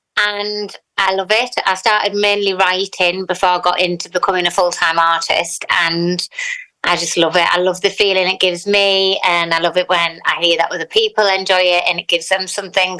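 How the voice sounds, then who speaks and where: A woman speaks in a Teesside accent at a moderate pace and medium pitch. Her intonation is monotone and flat, her loudness very even. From northern England, Teesside. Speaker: singer-songwriter. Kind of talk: interview.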